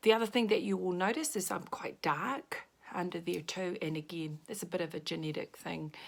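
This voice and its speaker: A woman talks at a fairly quick pace in a New Zealand accent. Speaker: makeup consultant. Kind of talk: makeup tutorial. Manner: casual.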